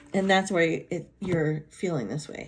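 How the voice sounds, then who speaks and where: In a fairly low voice, a woman speaks fairly slowly with fairly even intonation. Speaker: tarot card reader. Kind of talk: card reading. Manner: casual, unscripted.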